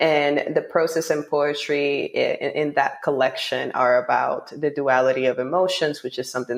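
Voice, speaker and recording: A woman with a Spanish accent talks at a moderate pace with hardly any pauses over noticeable background noise. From Dominican Republic, Santo Domingo. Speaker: poet and author. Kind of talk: podcast interview.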